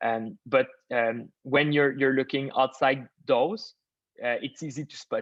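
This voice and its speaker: A man with a Quebec accent speaks at a fairly slow pace in a medium pitch, with ordinary pitch variation and big swings in loudness, in a dry, close sound with no echo against a quiet background. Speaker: machine learning expert. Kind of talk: webinar Q&A. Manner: halting, many fillers.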